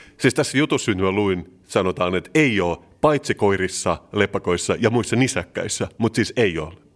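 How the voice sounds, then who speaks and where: A man with a fairly low pitch talks at a moderate pace in a plain, everyday voice. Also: lively intonation. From Turku, southwest Finland. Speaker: podcast co-host. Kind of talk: casual chat.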